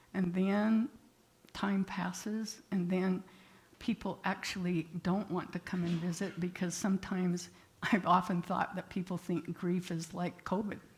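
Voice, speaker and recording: A woman's somewhat breathy, medium-pitched voice at a fairly slow pace, with monotone, flat intonation. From rural area. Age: 80s+. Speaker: therapist and guest speaker. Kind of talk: sermon.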